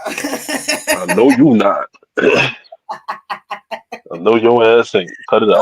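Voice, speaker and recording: The man takes his words very slowly. Long pauses break up his speech often. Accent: New York. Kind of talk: informal slang. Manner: casual, teasing banter.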